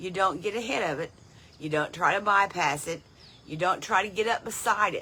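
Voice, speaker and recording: With an American accent, a woman speaks at a moderate pace in a bright, sharp tone with vocal fry. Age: 70s. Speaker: lay Bible teacher. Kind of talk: devotional Bible teaching. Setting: outdoors on front porch.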